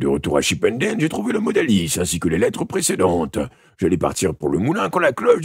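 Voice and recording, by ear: The text is read aloud in a natural voice.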